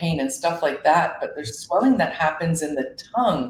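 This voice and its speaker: A somewhat breathy woman's voice, fairly low in pitch, with very wide pitch swings at a moderate pace. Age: 40s. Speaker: business owner presenting on seaweed health. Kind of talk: online summit presentation. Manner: casual, conversational.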